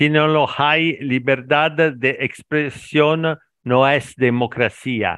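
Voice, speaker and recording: Very slowly, a man speaks with a bright, sharp tone and a fairly high pitch. His pitch varies in an ordinary way over a quiet background. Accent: Italian. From Italy. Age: 50s. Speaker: language learner, factory worker. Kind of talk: casual conversation practice. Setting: online call. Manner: halting, mixes Italian and Spanish.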